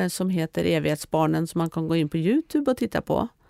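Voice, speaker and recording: The tone is dark and mellow, delivered at a moderate pace. The sound is dry and close with no echo, in a very clean recording with a silent background. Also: woman. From Norway. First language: Norwegian (speaking Swedish). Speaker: author. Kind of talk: interview.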